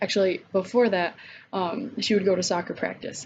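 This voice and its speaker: Over noticeable background noise, a woman speaks at a medium pitch and a moderate pace. Her intonation stays fairly even. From US, Oklahoma and Michigan. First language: Spanish. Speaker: college student. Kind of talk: class assignment vlog. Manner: casual with many fillers.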